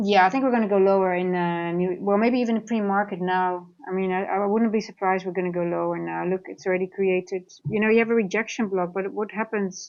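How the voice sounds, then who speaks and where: Speaking with a Dutch accent, a woman at medium pitch talks at a very fast pace with hardly any pauses and fairly even intonation. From Netherlands, grew up partly in Singapore. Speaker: trader and trading coach. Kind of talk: live trading stream with chat Q&A. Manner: casual, halting.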